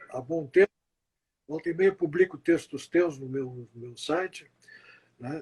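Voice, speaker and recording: A man at a moderate pace, ordinary pitch variation, in a dry, close recording with no echo. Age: 70s. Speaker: journalist. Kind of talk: closing remarks in interview. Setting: Instagram live. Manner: formal, earnest.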